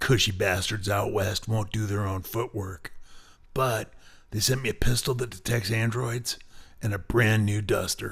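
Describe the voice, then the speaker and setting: A raspy put-on character voice moves at a moderate pace with fairly even intonation, recorded very cleanly against a silent background. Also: man, fairly low pitch for a man. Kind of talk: hard-boiled voice-over. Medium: machinima. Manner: dry, sardonic.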